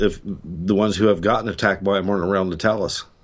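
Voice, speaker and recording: With an American accent, a man talks in an ordinary speaking voice at a fairly low pitch and with fairly even intonation. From Ohio, US Midwest. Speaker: hunter and cryptid witness. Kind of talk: interview.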